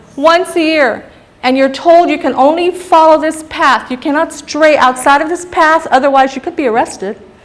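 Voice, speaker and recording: A woman speaks in an animated tone at a high pitch, keeping a moderate pace with hardly any pauses, ordinary pitch variation and big swings in loudness over noticeable background noise. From Guam (Barrigada). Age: 60s. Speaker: psychologist giving a public talk. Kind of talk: lecture.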